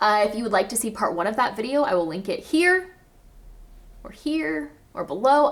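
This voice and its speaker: A woman with an American accent speaks in an animated tone at a fairly high pitch. Her voice makes very wide pitch swings. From US South, Arkansas. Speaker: zero waste lifestyle vlogger. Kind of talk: casual educational vlog.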